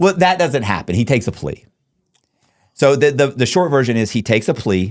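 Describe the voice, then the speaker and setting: In an animated tone with an American accent, the speaker talks at a fairly quick pace with very wide pitch swings. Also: man, medium pitch for a man. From Florida, Tampa. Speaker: convicted fraudster telling his story. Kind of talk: casual interview. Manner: fast.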